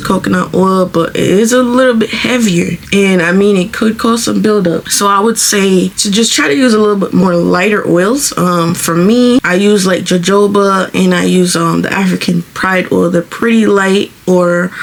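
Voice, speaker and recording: With hardly any pauses, a woman speaks at a medium pitch with fairly even intonation and very even loudness over noticeable background noise. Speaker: beauty vlogger. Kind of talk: tutorial. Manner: fast; casual, chatty.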